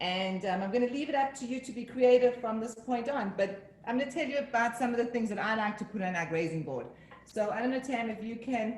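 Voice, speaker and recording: Amid noticeable background noise and audible room echo, a woman with an American accent speaks at a fairly high pitch. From Northern New Jersey. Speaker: home cook. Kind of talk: tutorial.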